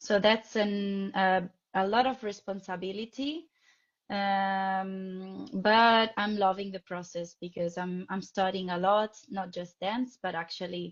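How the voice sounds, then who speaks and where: This woman has an Italian accent and a medium pitch. She talks at a very slow pace with fairly even intonation. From Italy, Rome. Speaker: ballet dancer and dance teacher. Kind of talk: interview. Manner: halting.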